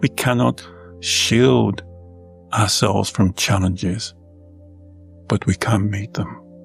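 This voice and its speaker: Music plays in the background. Over it a man speaks at a fairly slow pace with a fairly low pitch. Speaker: Taoist monk and meditation teacher. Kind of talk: guided meditation.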